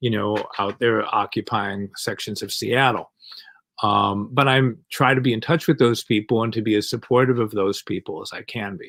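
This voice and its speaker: With vocal fry and big swings in loudness, the voice keeps a fairly even intonation at a moderate pace. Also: man, medium pitch for a man. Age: 60s. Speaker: comic artist and activist. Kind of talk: interview. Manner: hesitant, many fillers.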